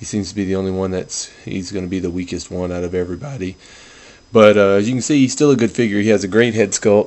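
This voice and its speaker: A man talks very fast in a soft-spoken way. His pitch is fairly low, with ordinary variation. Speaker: toy collector video reviewer. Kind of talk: product review. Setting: at home, others asleep in house. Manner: subdued, low-key delivery; kept quiet, soft.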